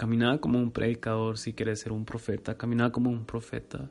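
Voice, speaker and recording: A man talks at a medium pitch and a moderate pace. His intonation is monotone and flat. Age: 20s. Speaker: podcaster. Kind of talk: devotional monologue.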